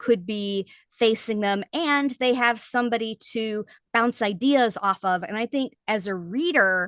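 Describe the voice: Quiet background behind plain reading aloud, with ordinary pitch variation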